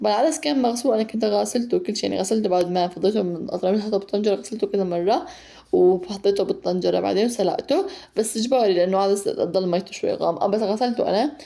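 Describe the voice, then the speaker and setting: Medium pitch for a woman, ordinary pitch variation, and a fairly quick pace. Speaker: mother and home cooking vlogger. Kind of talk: casual vlog voiceover; heartfelt message to mothers. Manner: fast; chatty with fillers.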